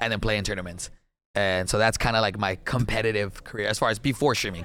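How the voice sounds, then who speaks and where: A man with a South Texas accent at a very fast pace, medium in pitch, with fairly even intonation. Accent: South Texas Mexican-American English. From Texas, Laredo. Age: 20s. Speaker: gaming streamer. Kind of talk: casual chat.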